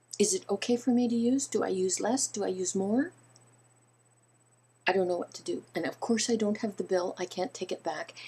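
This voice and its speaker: A woman with a medium pitch and ordinary pitch variation speaks in a somewhat breathy, dark and mellow tone, leaving long, frequent pauses. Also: fairly quick pace. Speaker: video blogger. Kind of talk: casual vlog talking to viewers.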